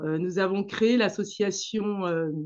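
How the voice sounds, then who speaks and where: A woman with a Senegalese accent, medium pitch and ordinary pitch variation. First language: Manjak (speaking French). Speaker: dance teacher and association founder. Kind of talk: interview talk about her association. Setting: video call. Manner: hesitant, many fillers.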